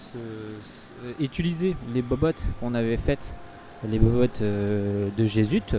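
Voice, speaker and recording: A man with a medium-pitched voice speaks at a very slow pace with ordinary pitch variation. Noticeable background noise is present. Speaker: gaming youtuber. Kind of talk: let's play commentary. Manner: halting, many filler sounds.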